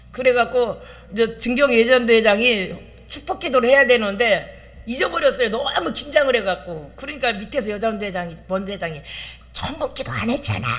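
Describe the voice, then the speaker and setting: A woman speaks in a high pitch with lively intonation at a fairly quick pace. Audible room echo surrounds her voice. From Chungcheong, South Korea. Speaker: pastor. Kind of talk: sermon.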